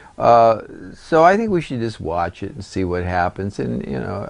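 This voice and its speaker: Speaking at a fairly quick pace, a man with an American accent uses lively intonation. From US West. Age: 60s. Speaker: astrologer and palmist. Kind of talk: interview. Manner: halting, many repetitions and fillers.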